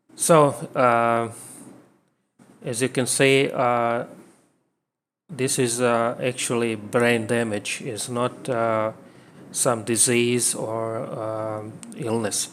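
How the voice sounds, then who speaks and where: Speaking very slowly with long, frequent pauses, a man with a non-native accent keeps his medium-pitched voice flat and monotone. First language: not English. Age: 30s. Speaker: vlogger. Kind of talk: personal talk to camera. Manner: halting, many fillers and repeats.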